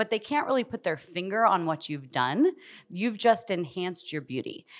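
Speaking with an American accent at a fairly quick pace, a woman with an unremarkable speaking voice uses lively intonation on a very clean recording with a silent background. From Southern California. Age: 40s. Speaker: physician and med spa owner. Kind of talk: interview. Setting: studio.

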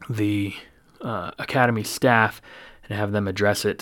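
In an unremarkable speaking voice, a man talks at a moderate pace and a fairly low pitch, on a very clean recording with a silent background. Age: 40s. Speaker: police officer and podcast host. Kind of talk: casual monologue.

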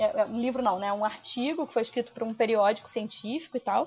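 A woman speaks fairly quickly in a fairly high pitch. Her voice is somewhat breathy, with ordinary pitch variation. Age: 30s. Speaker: poet and translator. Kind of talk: casual chat.

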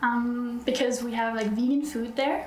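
A woman's fairly high voice at a moderate pace, fairly even in intonation, amid audible room echo and noticeable background noise. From Norway. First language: Norwegian. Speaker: nurse. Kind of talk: interview. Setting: on site at a conference.

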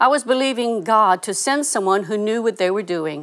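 A woman talks at a moderate pace in a medium pitch with ordinary pitch variation and a normal speaking voice. The recording is very clean, with a silent background. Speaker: ministry co-leader. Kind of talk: scripted devotional segment.

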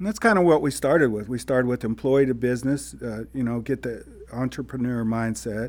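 Speaking at a fairly quick pace, a man with a plain, everyday voice holds a medium pitch with ordinary pitch variation on a very clean recording with a silent background. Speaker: podcast co-host, business coach. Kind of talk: casual conversational podcast chat.

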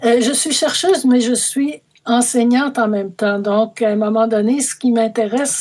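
With a Quebec accent, a woman talks at a fairly slow pace in a fairly high pitch with ordinary pitch variation. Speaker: mathematics professor. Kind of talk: interview. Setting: remote call.

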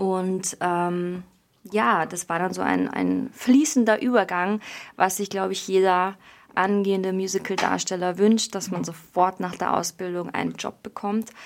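A woman's medium-pitched voice at a fairly slow pace, fairly even in intonation, in a very clean recording with a silent background. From Bavaria. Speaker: musical theatre performer. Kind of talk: casual interview.

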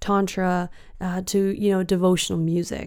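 A woman speaks at medium pitch in a Western Canadian accent. The recording is very clean, with a silent background. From Canada, British Columbia. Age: 30s. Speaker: spiritual guide. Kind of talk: solo podcast monologue. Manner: warm, gentle.

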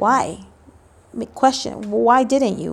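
A woman's voice of fairly high pitch. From Los Angeles, Mexican-American family. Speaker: parent educator. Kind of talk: interview. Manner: halting, many filler ums.

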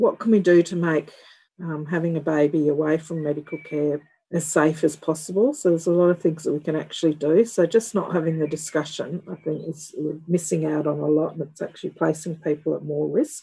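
Speaking with an Australian accent, a woman uses a very deep, low pitch and a dark, mellow, somewhat breathy tone. She goes at a fairly quick pace with fairly even intonation. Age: 50s. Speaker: professor and midwife. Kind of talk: interview.

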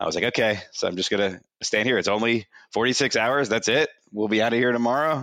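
In a very clean recording with a silent background, a man speaks very fast at a medium pitch, with a bright, sharp tone and ordinary pitch variation. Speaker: university alumnus, finance professional. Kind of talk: casual panel interview. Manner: halting, many fillers and repeats.

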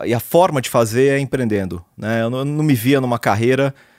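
A man speaks at a medium pitch. The recording is very clean with a silent background and a dry, close sound with no echo. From Brazil, São Paulo city. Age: 40s. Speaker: serial entrepreneur. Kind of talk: interview.

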